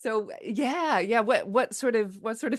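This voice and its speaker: A woman talks with an American accent. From United States. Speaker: podcast host. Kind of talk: podcast interview; reading a guest bio.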